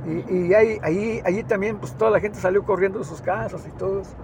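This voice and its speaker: There is noticeable background noise as a man talks in a high pitch with ordinary pitch variation. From Mexico, Zacatecas (Mazapil). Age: 70s. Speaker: last remaining villager, land-rights activist. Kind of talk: testimony. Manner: halting, many repetitions.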